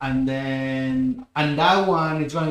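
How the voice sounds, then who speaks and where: A man speaks with a Catalan accent. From Spain, Barcelona. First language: Spanish. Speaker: game developer. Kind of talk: live stream chat. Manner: halting.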